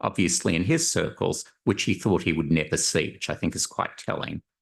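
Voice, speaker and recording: In a quiet background, a man's voice carries an Australian accent. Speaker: panel moderator, survey methodologist. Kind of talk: conference panel moderation. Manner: frequent filler words, hesitant.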